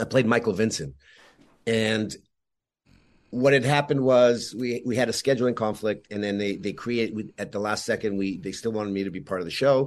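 A man talks at a fairly quick pace with a medium pitch and ordinary pitch variation. It is a normal speaking voice over a quiet background. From Montreal, Canada, Yugoslav immigrant family. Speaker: actor. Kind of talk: casual interview.

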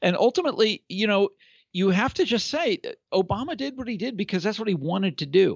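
Very fast and with lively intonation, a man with an American accent speaks at a high pitch. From Kansas. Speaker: political writer and commentator. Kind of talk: casual political discussion. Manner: hesitant, many fillers.

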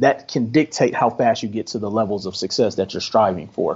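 A man with an American accent and an unremarkable speaking voice, medium in pitch, at a fairly quick pace. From Milwaukee, Wisconsin, US Midwest. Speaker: credit specialist and entrepreneur. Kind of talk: podcast interview.

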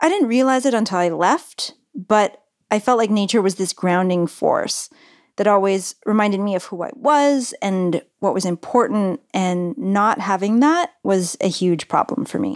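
An ordinary speaking voice from a woman in an American accent, medium-pitched with lively intonation at a fairly slow pace, on a very clean recording with a silent background and a dry, close sound with no echo. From California. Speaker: radio producer and reporter. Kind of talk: casual chat with narrated segments; scripted narration.

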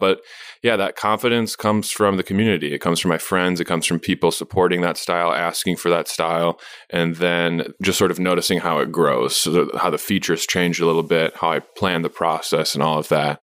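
A man with an American accent speaks at a very deep, low pitch, his loudness very even and intonation fairly even. The recording is very clean with a silent background. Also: fairly quick pace. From US Midwest, Madison, Wisconsin. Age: 30s. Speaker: visual artist. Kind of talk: casual interview. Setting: studio.

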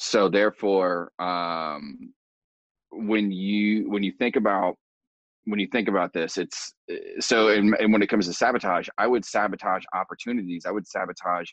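In an ordinary speaking voice with an American accent, a man talks at a moderate pace in a fairly low pitch with fairly even intonation, the sound dry and close with no echo. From US Midwest, rural Indiana. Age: 30s. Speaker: personal development coach. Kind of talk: casual interview.

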